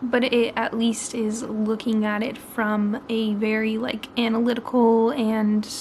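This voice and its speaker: Over noticeable background noise, a woman with an American accent speaks at a fairly slow pace with hardly any pauses, her fairly high pitch carried in monotone, flat intonation. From Oregon, US. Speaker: book vlogger. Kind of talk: vlog to camera. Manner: quiet, hushed; casual, filler-heavy.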